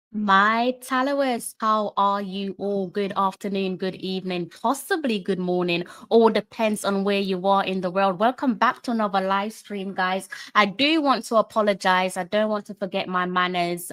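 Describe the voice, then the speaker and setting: Medium in pitch, a woman's voice moves at a moderate pace with hardly any pauses. Her pitch varies in an ordinary way. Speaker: YouTube live stream host. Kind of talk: casual live stream chat. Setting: home live stream late at night. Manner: loud.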